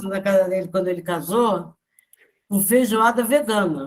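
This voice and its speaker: A woman with an unremarkable speaking voice and ordinary pitch variation keeps to a moderate pace. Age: 60s. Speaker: spiritist study group member. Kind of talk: casual group discussion.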